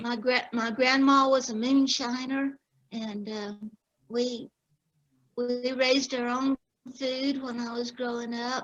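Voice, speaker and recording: With an Appalachian accent, a woman talks at a very slow pace and a high pitch. Her intonation is monotone and flat, with long, frequent pauses. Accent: Appalachian Southern US. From North Carolina mountain foothills, US South. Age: 70s. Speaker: author, military veteran. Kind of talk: casual chat. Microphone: unstable Wi-Fi connection.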